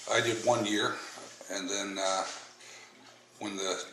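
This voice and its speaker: Over noticeable background noise and audible room echo, a man with an American accent speaks in a fairly low, monotone, flat voice at a moderate pace. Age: 60s. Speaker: navy veteran. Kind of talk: oral history interview. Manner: hesitant with fillers.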